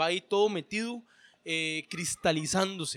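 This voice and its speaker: A man with a bright, sharp tone speaks at a fairly slow pace with ordinary pitch variation, captured in a very clean recording against a silent background. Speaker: founder of a literary workshop. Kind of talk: casual chat.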